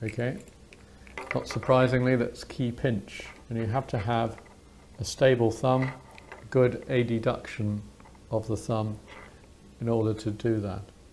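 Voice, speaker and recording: A man with a British accent speaks fairly slowly in a monotone, flat delivery, with long, frequent pauses. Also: medium pitch for a man. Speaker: doctor, clinical teacher. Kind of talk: medical teaching demonstration, unintentional ASMR.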